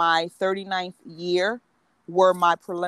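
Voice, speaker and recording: Speaking with a New Jersey accent, a woman talks at a medium pitch. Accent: New Jersey, urban East Coast. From New Jersey, Atlantic City. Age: 40s. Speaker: women's coach. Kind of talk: casual interview.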